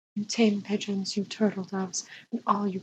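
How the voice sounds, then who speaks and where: A soft-spoken woman at medium pitch, somewhat breathy, with monotone, flat intonation. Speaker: ASMR storyteller. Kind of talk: sleep story.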